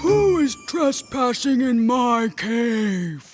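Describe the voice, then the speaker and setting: Over faint music in the background, a put-on character voice speaks at a fairly high pitch and a very slow pace. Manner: demanding, threatening.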